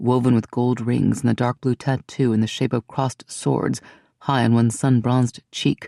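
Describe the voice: A quiet background behind plain reading aloud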